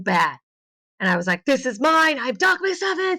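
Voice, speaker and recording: The recording is very clean with a silent background as a woman talks at a moderate pace in an animated, bright, sharp tone. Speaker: voice actress and therapist. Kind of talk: casual chat.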